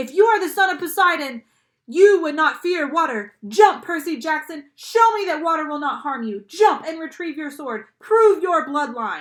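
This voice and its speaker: A woman puts on a character voice at an extremely high pitch. She keeps a moderate pace. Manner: hissing; taunting.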